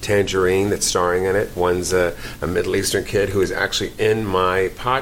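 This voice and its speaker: An American accent at a moderate pace, over noticeable background noise. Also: man. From New York, the Bronx. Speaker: actor and comedian. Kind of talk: casual chat. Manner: animated.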